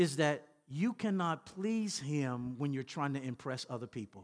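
A man speaks with a Southern US accent at a fairly high pitch. His pace is fairly slow, with ordinary pitch variation over a quiet background. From Louisiana, US South. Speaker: pastor. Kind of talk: sermon. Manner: repetitive stammering restarts.

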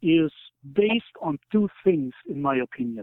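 A man talks at a very slow pace in a German accent. His pitch swings very widely. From East Germany. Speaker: author. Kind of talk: interview.

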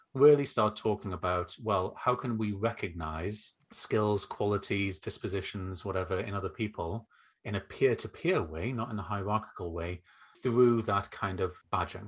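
Over a quiet background, a man with a northeast English accent speaks at a moderate pace with a fairly low, somewhat breathy voice and fairly even intonation. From northeast England. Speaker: education consultant and former teacher. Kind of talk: interview conversation. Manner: humorous, relaxed.

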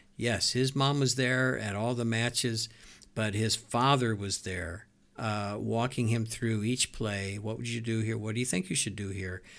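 The man's intonation is fairly even, and his pitch is medium. His pace is fairly slow. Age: 60s. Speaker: pastor. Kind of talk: casual chat. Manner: halting.

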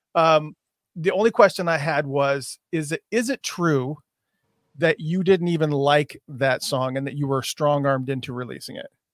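A plain, everyday voice from a man, fairly high in pitch, at a moderate pace with ordinary pitch variation, in a dry, close sound with no echo. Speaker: interviewer. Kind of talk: casual interview.

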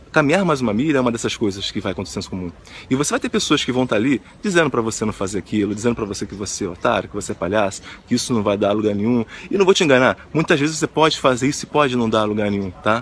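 A man's medium-pitched voice, very fast in pace, with lively intonation. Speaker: motivational video host. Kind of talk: motivational monologue.

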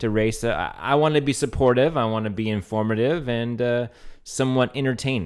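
Heard in a very clean recording with a silent background, a man talks at a fairly quick pace with an American accent. He has an ordinary speaking voice, a medium pitch and ordinary pitch variation. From Louisiana, US. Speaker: podcast co-host, race caller and race organizer. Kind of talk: casual banter podcast.

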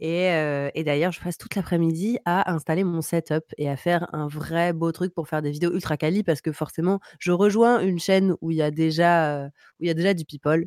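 A woman with a normal speaking voice and a fairly low pitch talks at a moderate pace with fairly even intonation, the sound dry and close with no echo. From Paris. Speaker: streamer. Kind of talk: music review segment; casual chat. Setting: home streaming setup.

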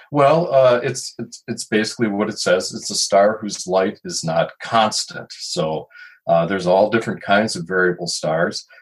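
A man talks at a moderate pace with fairly low pitch and lively intonation. He has an ordinary speaking voice. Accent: American. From Chicago. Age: 60s. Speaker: retired photojournalist and astronomy writer. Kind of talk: interview.

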